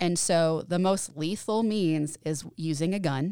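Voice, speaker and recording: A woman's fairly low, dark, mellow voice in a very clean recording with a silent background. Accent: East Tennessee. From Tennessee, Knoxville. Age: 30s. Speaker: mental health services director. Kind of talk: podcast interview.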